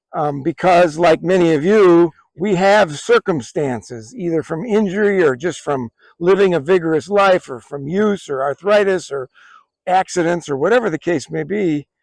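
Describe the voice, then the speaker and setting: A man talks at a moderate pace in a high voice with ordinary pitch variation. The sound is dry and close, with no echo. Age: 60s. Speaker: firearms hobby video host. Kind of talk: tutorial. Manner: hesitant, with filler words.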